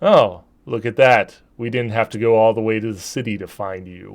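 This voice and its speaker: In a gruff, put-on character voice at a medium pitch, a man talks at a moderate pace against a quiet background. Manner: menacing, mocking.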